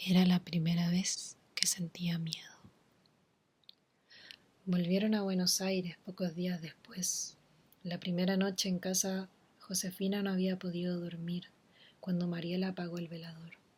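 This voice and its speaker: Whispering and soft-spoken, a woman talks at a fairly slow pace in a somewhat breathy voice, with long, frequent pauses. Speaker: ASMR reader / content creator. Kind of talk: ASMR horror story reading. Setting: home recording with humidifier nearby. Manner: soft-spoken, whispery.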